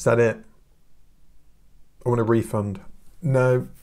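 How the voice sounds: Speaking slowly, a man uses a medium pitch, a slightly mellow tone and fairly even intonation.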